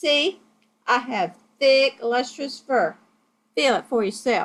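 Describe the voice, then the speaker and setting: Delivery is fairly slow. This is a put-on character voice. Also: woman, high pitch for a woman. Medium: read story. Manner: pompous, wordy.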